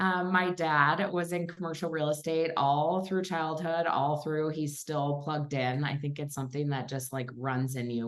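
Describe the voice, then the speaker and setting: A woman with a Minnesotan accent, a very deep, low pitch, ordinary pitch variation, and a moderate pace, with audible room echo. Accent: Minnesota. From Minnesota, western suburbs of Minneapolis. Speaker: commercial real estate investor and coach. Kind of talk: casual interview chat. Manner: conversational with many fillers.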